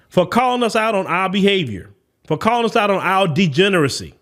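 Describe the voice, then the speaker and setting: In a Southern US accent, a man talks at a fairly quick pace with a high pitch, an animated tone and very wide pitch swings, recorded very cleanly against a silent background. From US South. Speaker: podcast host. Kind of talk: opinion commentary.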